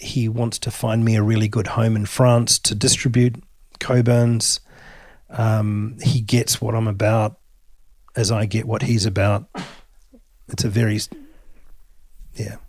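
Speaking slowly with long, frequent pauses, a man with an Australian accent holds a medium pitch. His voice is somewhat breathy and his intonation flat and monotone. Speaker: whisky distillery founder. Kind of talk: interview. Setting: in-person recording.

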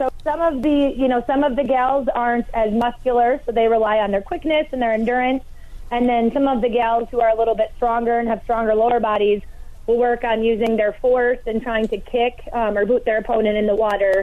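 A woman with an American accent speaks at a high pitch, keeping her loudness very even. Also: fairly even intonation. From Hayward, Wisconsin. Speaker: log rolling competitor. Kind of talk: radio interview.

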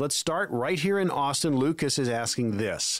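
With an unremarkable speaking voice, a man talks at a moderate pace in a fairly high pitch with lively intonation. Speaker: radio host, consumer advocate. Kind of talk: radio show host reading a promo and giving phone number. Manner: clear, upbeat, brisk.

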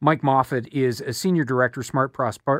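With a Canadian accent and an unremarkable speaking voice, a man talks at a fairly quick pace and medium pitch on a very clean recording with a silent background. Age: 50s. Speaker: radio host. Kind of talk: talk radio. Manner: conversational with fillers.

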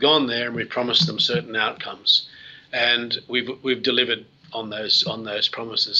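This man has an Australian accent and a medium-pitched voice. He talks at a very fast pace. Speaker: mining company CEO. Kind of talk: interview. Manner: halting.

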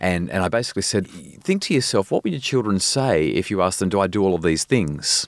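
A man with an Australian accent and a very deep, low pitch talks at a very fast pace with hardly any pauses, lively intonation and very even loudness. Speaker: parenting expert and psychologist. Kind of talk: interview. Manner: animated.

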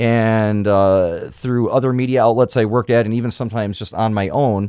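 Fairly quick and with fairly even intonation, the dark, mellow voice sits on a very clean recording with a silent background and a dry, close sound with no echo. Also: man. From Michigan (Kalamazoo area). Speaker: radio host and podcaster. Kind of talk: casual chat. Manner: hesitant, frequent uh fillers.

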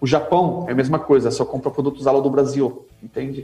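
A man talks at a fairly quick pace, his pitch fairly high and his intonation fairly even. Noticeable background noise runs behind him. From Brazil, São Paulo city. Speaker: halal certification manager. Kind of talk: casual interview.

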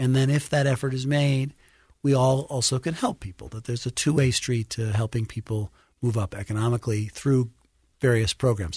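A somewhat breathy man with an American accent at a fairly quick pace, in a dry, close sound with no echo. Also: medium pitch for a man, ordinary pitch variation, quiet background. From New York City (Brooklyn). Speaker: think tank president. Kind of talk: interview. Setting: studio.

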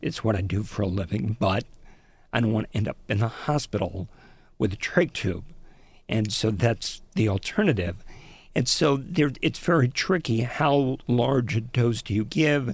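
This man's voice is somewhat breathy, at medium pitch with lively intonation. He keeps a moderate pace. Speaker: radio reporter. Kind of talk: interview. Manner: breathless, runs out of breath.

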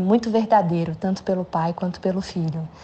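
This woman has a medium pitch. Her voice is somewhat breathy. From Brazil, São Paulo. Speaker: actress. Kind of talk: recorded message for a podcast.

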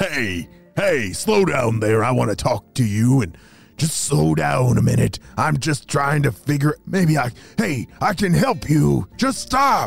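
A man does a put-on character voice, raspy and medium in pitch, at a fairly slow pace. Faint music plays in the background. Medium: read story. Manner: coaxing.

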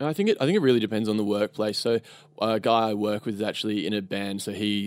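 A fairly low-pitched man with an Australian accent at a very fast pace. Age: 20s. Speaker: e-commerce customer service worker. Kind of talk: casual chat. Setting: studio.

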